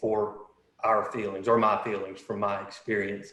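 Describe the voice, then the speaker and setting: Audible room echo colors this recording. The man's pitch is fairly low. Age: 40s. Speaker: panelist sharing recovery story. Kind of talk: testimony. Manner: halting.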